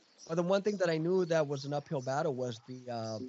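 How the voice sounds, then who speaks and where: Speaking at a fairly quick pace, a man varies his pitch an ordinary amount. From Guadalajara, Mexico, raised in Long Beach, California. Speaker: sports media entrepreneur, former sports broadcaster. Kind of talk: casual interview chat.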